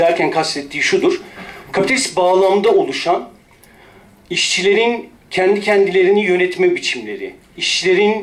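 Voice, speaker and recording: His loudness holds very even throughout. The man talks at a moderate pace. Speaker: speaker. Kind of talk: symposium talk. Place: hall. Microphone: podium.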